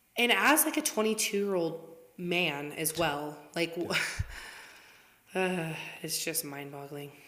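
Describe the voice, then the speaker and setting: At a very slow pace, a woman with a fairly low voice speaks over noticeable background noise. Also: ordinary pitch variation. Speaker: podcast co-host. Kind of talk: casual chat.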